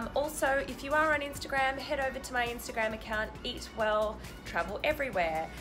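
Clear music plays in the background while the voice shows ordinary pitch variation. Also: woman. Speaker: travel vlogger. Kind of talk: casual vlog chat. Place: home room. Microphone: phone near.

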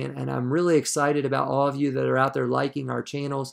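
The background is quiet. A man speaks at a fairly high pitch. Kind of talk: devotional teaching. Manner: halting, frequent fillers. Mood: warm, grateful. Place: home room. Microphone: earbuds.

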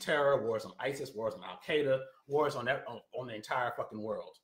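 Against a quiet background with audible room echo, a man speaks at a moderate pace. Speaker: political commentator. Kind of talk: commentary rant. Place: home room. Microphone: phone near.

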